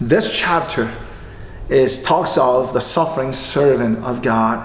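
Room echo is audible around a man's voice. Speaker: pastor. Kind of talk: sermon. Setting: online livestreamed church service. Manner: formal. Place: church. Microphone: podium.

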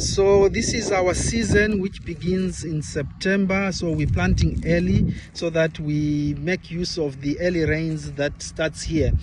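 A man's voice is dry with no echo, though loud background noise surrounds it. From Zimbabwe. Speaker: farm worker. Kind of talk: self-introduction to camera; explanatory walk-through talk. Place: farm machine. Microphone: phone near.

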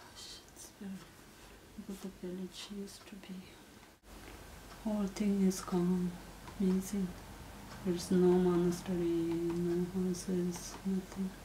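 A woman with a Nepali accent speaks fairly slowly at medium pitch in a flat monotone, leaving long, frequent pauses. Light background noise can be heard. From Nepal, Langtang Valley. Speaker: earthquake victims' relative. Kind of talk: interview answer. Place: home room.

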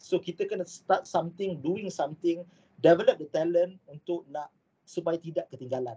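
Using ordinary pitch variation, a man with a high voice and a dark, mellow tone speaks at a moderate pace. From Malaysia. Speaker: aerospace engineering lecturer; university lecturer presenting. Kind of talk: online lecture. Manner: hesitant with fillers. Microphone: video call.

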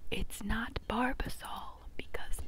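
Whispering is all that comes from the woman speaking. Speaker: parody ASMR creator. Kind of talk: casual vlog chat. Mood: joking, deadpan humor. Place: home room. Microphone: earbuds.

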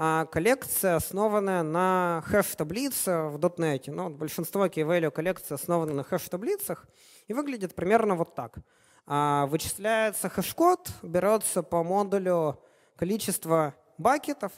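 Against a quiet background, a man with a high pitch speaks at a fairly slow pace with lively intonation. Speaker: software developer, conference speaker; conference speaker. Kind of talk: conference talk. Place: hall.

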